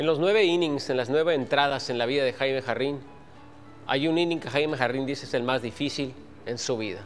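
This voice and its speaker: At a fairly quick pace and with ordinary pitch variation, a man talks over faint background music. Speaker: TV news reporter. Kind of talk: TV news feature narration.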